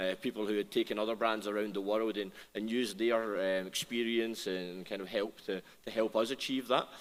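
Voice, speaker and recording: A man with a Scottish accent talks at a fairly quick pace. His pitch is fairly low, and his intonation is monotone and flat. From Scotland. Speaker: restaurant brand founder. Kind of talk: panel discussion. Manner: halting, many repetitions.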